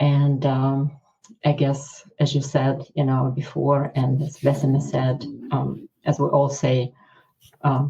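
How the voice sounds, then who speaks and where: A woman speaks with very deep, low pitch in a flat monotone. Her somewhat breathy voice has a dark, mellow tone. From Ukraine. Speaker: cardiologist. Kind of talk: interview. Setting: podcast. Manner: hesitant, many fillers.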